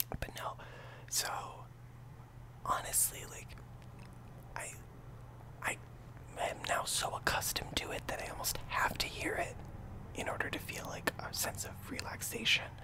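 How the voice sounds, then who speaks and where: A man whispers at a fairly slow pace. He leaves long, frequent pauses. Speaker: ASMR YouTuber. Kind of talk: casual talk to camera. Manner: whispered. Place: home room. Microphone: studio mic.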